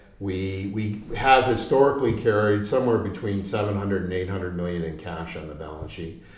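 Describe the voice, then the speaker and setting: A man's fairly low voice at a moderate pace, with ordinary pitch variation, big swings in loudness and noticeable background noise. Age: 60s. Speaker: mining company executive. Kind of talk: business interview. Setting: studio in London.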